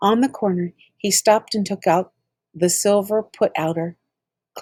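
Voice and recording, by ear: Someone reads aloud in a natural voice with fairly even intonation. The background stays quiet.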